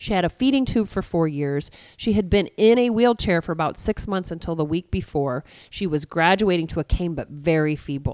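On a very clean recording with a silent background and a dry, close sound with no echo, a woman with an unremarkable speaking voice talks at a fairly quick pace, with lively intonation and a fairly low pitch. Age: 40s. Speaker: pastor. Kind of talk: interview.

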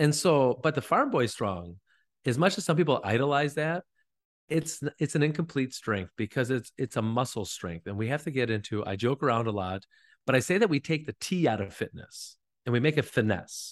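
With an American accent and a plain, everyday voice, a man at medium pitch talks at a fairly quick pace with lively intonation, in a dry, close sound with no echo and a quiet background. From northern Wisconsin. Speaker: fitness coach and gym owner. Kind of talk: casual interview.

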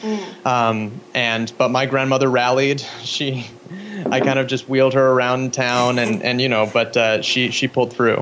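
A man with an American accent at a medium pitch, moderate pace, fairly even intonation and very even loudness, over noticeable background noise. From US Pacific Northwest (Spokane, Washington). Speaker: filmmaker. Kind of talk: interview. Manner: halting, many fillers.

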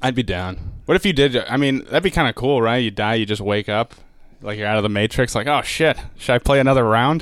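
Speaking in an unremarkable speaking voice with an American accent, a man keeps a medium pitch, ordinary pitch variation and a fairly quick pace, recorded very cleanly against a silent background. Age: 20s. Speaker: stand-up comedian. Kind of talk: casual chat.

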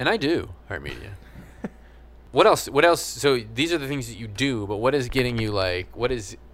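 At a moderate pace and medium pitch, a man speaks with lively intonation, vocal fry, big swings in loudness and long, frequent pauses. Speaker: podcast host. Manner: casual, joking.

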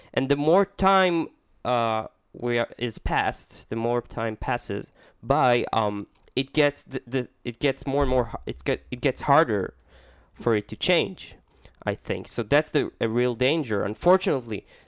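A man with an Israeli accent speaks at a fairly slow pace, medium in pitch and lively in intonation. The recording is very clean, with a silent background. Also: dry, close sound with no echo. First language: Hebrew. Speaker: podcast co-host. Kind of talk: casual chat. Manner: playful, jokey.

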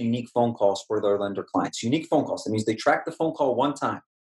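A man with a plain, everyday voice, medium pitch and ordinary pitch variation. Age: 30s. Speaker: tech entrepreneur. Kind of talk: podcast interview.

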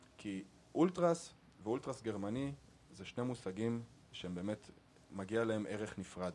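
The speaker goes at a fairly slow pace with lively intonation and long, frequent pauses. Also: man, fairly low pitch for a man. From Israel, Arad. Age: 30s. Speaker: podcast host. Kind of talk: casual chat.

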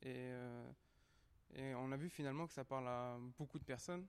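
Speaking with fairly even intonation, a man keeps to a medium pitch. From Paris 19th arrondissement. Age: young. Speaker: university student and documentary participant. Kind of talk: interview. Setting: recorded at a culture venue.

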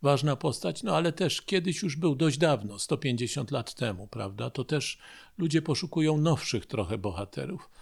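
A man with a fairly high voice and vocal fry talks at a moderate pace, his pitch swinging very widely. The recording is very clean, with a silent background. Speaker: history professor. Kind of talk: radio interview. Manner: formal.

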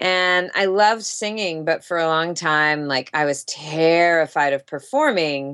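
A woman with an American accent has an ordinary speaking voice, fairly low in pitch, with ordinary pitch variation. She talks at a fairly slow pace with hardly any pauses against a quiet background. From US South, Jacksonville, Florida. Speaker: actress. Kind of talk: casual interview.

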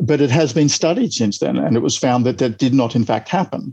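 A man speaks with an Australian accent in a dark, mellow tone. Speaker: epidemiologist. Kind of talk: interview.

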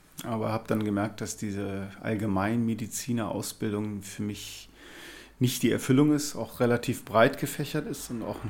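The speaker keeps a moderate pace. Pitch varies in an ordinary way. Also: man, medium pitch for a man. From Rhineland-Palatinate, Linz am Rhein. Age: 40s. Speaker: cardiologist, senior doctor. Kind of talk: interview. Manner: halting.

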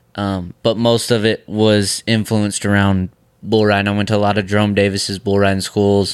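A man with an American accent, a fairly low pitch, a fairly quick pace and monotone, flat intonation, in a very clean recording with a silent background. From New York. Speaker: professional bull rider. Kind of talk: casual chat. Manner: quiet, reserved.

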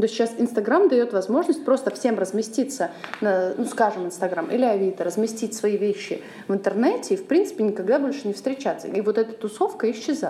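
Noticeable background noise behind a fairly high-pitched woman with lively intonation and a fairly quick pace. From Russia, Saint Petersburg. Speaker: podcast host, charity program coordinator. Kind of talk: casual chat.

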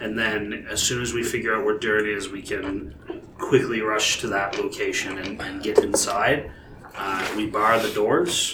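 Over clear background noise, a man speaks in a put-on character voice. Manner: brisk, matter-of-fact.

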